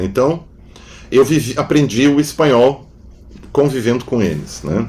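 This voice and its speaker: A man with a medium pitch takes his time, speaking at a fairly slow pace. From southern Brazil, Rio Grande do Sul (Novo Hamburgo). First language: German (speaking Portuguese). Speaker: philosopher and psychoanalyst. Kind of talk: interview conversation. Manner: halting, with frequent fillers.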